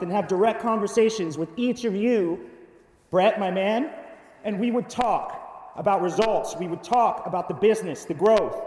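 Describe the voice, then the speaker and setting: A man talks loud and at a fairly quick pace, with a high pitch and lively intonation. Noticeable background noise and audible room echo accompany him. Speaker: conference speaker. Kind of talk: keynote presentation. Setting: stage with audience. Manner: animated.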